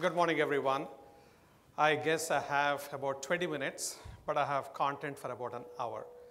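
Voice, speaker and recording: Audible room echo surrounds a man speaking at a fairly quick pace. His fairly high pitch stays monotone and flat. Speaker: marketing executive. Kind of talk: conference keynote.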